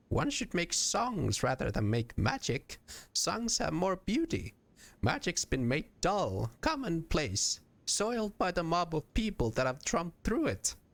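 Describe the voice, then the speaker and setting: In a put-on character voice, a man speaks gruffly at a fairly slow pace with a high pitch. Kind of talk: put-on old woman voice. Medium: actual play. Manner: gruff, archaic folksy speech.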